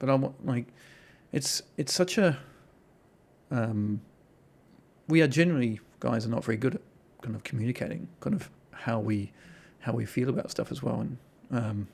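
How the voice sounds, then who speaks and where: A man's medium-pitched voice with vocal fry, ordinary pitch variation, a moderate pace and long, frequent pauses. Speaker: podcast host. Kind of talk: podcast interview talk.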